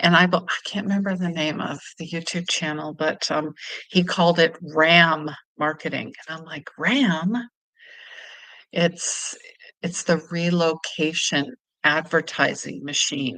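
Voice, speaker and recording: A normal speaking voice from a woman with a fairly low pitch, fairly even intonation, big swings in loudness and a fairly slow pace. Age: 50s. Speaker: intuitive healer and travel vlogger. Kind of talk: casual livestream talk to camera.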